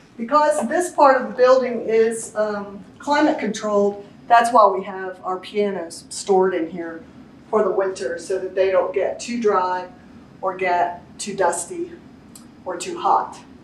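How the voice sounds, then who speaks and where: With lively intonation and big swings in loudness, a woman speaks at a fairly slow pace, her voice carrying audible room echo over light background noise. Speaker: tour guide. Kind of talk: guided tour explanation. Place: hall. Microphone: camera far.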